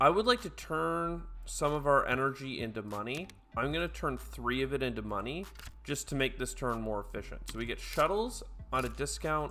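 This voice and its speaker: Spoken at a moderate pace, with music playing in the background. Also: man. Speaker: board game streamer. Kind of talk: gameplay commentary. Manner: casual, with frequent fillers.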